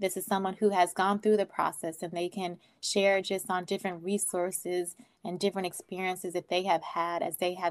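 In a very clean recording with a silent background, a woman with a Californian accent speaks at a moderate pace and a medium pitch. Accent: Californian American. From US West Coast, Oakland, California. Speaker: nonprofit founder. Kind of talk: interview.

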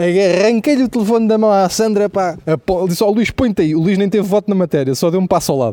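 Talking at a very fast pace, a man with a high pitch keeps very even loudness and ordinary pitch variation. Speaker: comedian. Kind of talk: comedic monologue. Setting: outdoors. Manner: animated.

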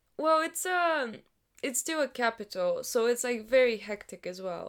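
Recorded very cleanly against a silent background, a woman with a plain, everyday voice talks at a fairly slow pace with lively intonation. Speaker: university student. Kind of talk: casual chat.

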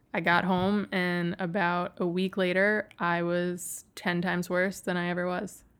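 A woman with an American accent, fairly low pitch, fairly even intonation and a fairly slow pace. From US Northeast (Western New York). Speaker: Lyme disease patient. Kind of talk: personal testimony interview.

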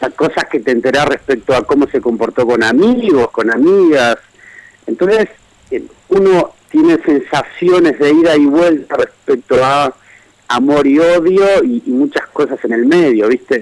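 A man with an unremarkable speaking voice, fairly high pitch, a fairly slow pace, lively intonation and very even loudness. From Argentina, Greater Buenos Aires. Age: 40s. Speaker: writer. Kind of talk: radio interview.

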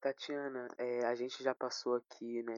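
A man talks at a medium pitch and moderate speed in a flat monotone. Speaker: podcast host. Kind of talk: casual interview.

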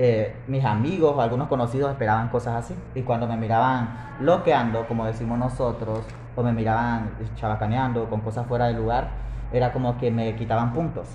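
The speech moves at a fairly quick pace with fairly even intonation, amid audible room echo and noticeable background noise. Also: man, medium pitch for a man. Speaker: podcast host. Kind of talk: casual chat. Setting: café.

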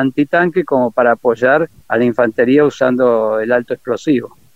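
A man with an unremarkable speaking voice keeps a moderate pace, a medium pitch and fairly even intonation. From Argentina, Corrientes province. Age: 60s. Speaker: retired army officer and war veteran. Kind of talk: interview testimony. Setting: phone call.

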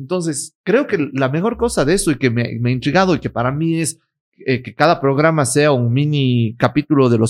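At a fairly quick pace, a man with a fairly high pitch talks in an ordinary speaking voice with ordinary pitch variation. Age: 30s. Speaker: lawyer, influencer and entrepreneur. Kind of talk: casual interview. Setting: his office.

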